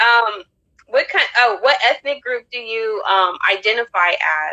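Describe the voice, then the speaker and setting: In a dry, close sound with no echo, a bright, sharp voice with an American accent moves at a fairly slow pace with ordinary pitch variation. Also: woman, fairly high pitch for a woman. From United States. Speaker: podcast host. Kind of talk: casual chat. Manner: animated.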